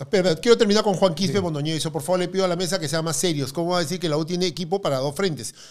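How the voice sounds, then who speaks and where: A man talks at a very fast pace with hardly any pauses. His pitch is high for a man. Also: ordinary pitch variation, quiet background. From Peru. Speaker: football pundit. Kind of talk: casual sports talk show. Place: studio. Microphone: studio mic.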